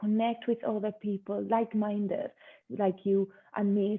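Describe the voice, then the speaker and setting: A woman speaks in a Spanish accent at a moderate pace. Her medium-pitched voice has monotone, flat intonation. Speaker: yoga teacher. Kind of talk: interview.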